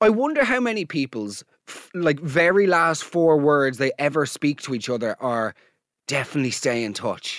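A man with an Irish accent speaks at a fairly high pitch and a moderate pace, animated and with very wide pitch swings. The recording is very clean with a silent background, and the sound is dry and close with no echo. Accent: Irish brogue. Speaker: podcast host. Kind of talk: comedic monologue and listener voice note reactions.

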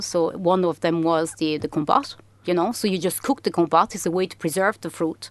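A woman with a French accent speaks at a moderate pace and a fairly low pitch. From France. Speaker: food entrepreneur. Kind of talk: interview. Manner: halting, repeating words.

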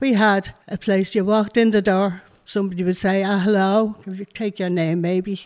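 With a Dublin accent, a woman speaks at a moderate pace and medium pitch in a monotone, flat intonation on a very clean recording with a silent background. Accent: Dublin Irish. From Ireland. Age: 60s. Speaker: community activist. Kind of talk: interview testimony. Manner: talkative.

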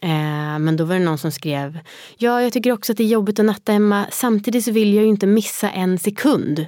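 A woman speaks at a fairly quick pace with a medium pitch and ordinary pitch variation in an unremarkable speaking voice, on a very clean recording with a silent background. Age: 30s. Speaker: podcast host and new mother. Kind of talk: casual chat.

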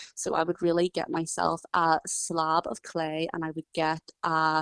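The speaker has a Northern Irish accent. The sound is dry and close, with no echo. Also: woman. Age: 20s. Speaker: ceramic artist. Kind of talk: interview.

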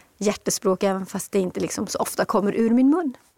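A woman speaks in a plain, everyday voice, pitched fairly high with ordinary pitch variation. The sound is dry and close, with no echo. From Swedish Lapland, Kiruna. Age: 50s. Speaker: author. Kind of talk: interview.

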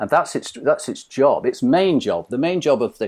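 In a very clean recording with a silent background, a man talks at a moderate pace in a British accent. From Britain. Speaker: mind coach. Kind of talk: interview.

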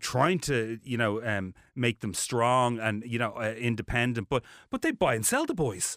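A man speaks in a Dublin accent at a moderate pace and medium pitch. The recording is dry and close with no echo, very clean with a silent background. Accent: Dublin Irish. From Ireland (Dublin). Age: 40s. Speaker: TV presenter. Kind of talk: interview. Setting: studio. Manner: animated.

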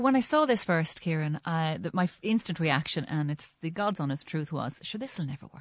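Against a quiet background, a woman speaks at a fairly quick pace in a very deep, low pitch. Her intonation is lively. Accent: Irish. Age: 40s. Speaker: journalist and communications consultant. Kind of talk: panel discussion on radio. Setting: radio studio.

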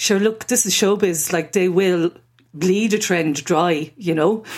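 Someone speaks with an Irish accent at a fairly slow pace. The loudness stays very even. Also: woman. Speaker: freelance journalist. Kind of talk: casual chat.

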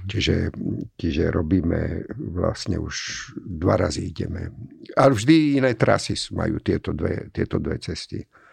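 His pitch is very deep and low, with vocal fry. The man's voice swings very widely in pitch. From Slovakia, Komárno. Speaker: architect. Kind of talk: interview.

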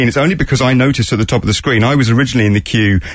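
A man talks with a British accent and ordinary pitch variation. Noticeable background noise sits behind him. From UK. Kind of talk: casual chat. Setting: studio.

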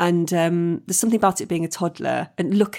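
In a very clean recording with a silent background, a woman with a fairly low pitch and vocal fry talks at a fairly quick pace. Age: 40s. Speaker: comedian and actress. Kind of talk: casual chat.

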